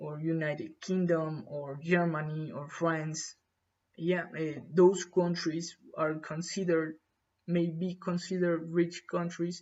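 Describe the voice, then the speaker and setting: The voice is monotone, with flat intonation, and moves at a fairly slow pace. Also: man, high pitch for a man. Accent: Spanish. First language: Spanish. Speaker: English learner. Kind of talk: exam practice monologue. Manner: halting, many fillers.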